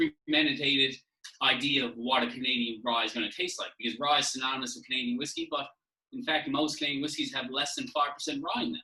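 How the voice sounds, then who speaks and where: A man speaks with a Newfoundland accent. His pace is very fast. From Newfoundland, St. John's. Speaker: whisky brand representative. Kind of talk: casual podcast chat. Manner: animated.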